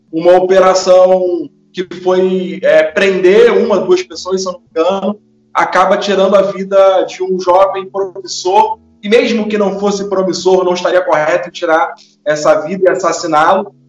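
Over music in the background, a man talks at a fairly slow pace in a high-pitched, monotone, flat delivery. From Brazil, São Gonçalo (Rio de Janeiro state). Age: 30s. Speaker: communicator and content creator. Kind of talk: interview.

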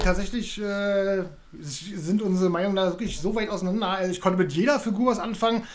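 A man talks at a high pitch with ordinary pitch variation. Audible room echo can be heard. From Berlin. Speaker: film podcast host. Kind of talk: casual chat.

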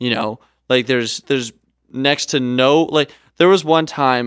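A man with a Canadian accent speaks at a fairly slow pace and medium pitch, in an ordinary speaking voice. His pitch varies in an ordinary way, and the sound is dry and close with no echo. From Canada. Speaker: podcast co-host and travel videographer. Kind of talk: casual chat. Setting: studio.

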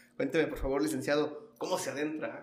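A man talks at a very fast pace in a fairly high pitch. Music plays in the background, and the room has audible echo. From Mexico, Michoacán (Los Reyes). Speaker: podcast host. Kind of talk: interview. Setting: guest's office.

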